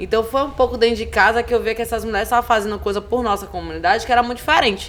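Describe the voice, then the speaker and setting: A woman with a fairly high pitch at a very fast pace, amid noticeable background noise. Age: 30s. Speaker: cultural producer and activist. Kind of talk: podcast interview. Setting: live podcast recording at a literary festival. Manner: animated.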